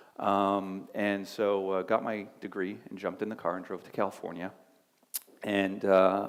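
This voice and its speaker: A man talks at a moderate pace and a fairly low pitch. His intonation is monotone and flat. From Canada, Montreal. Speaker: business executive. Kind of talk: career talk to students. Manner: casual, many fillers.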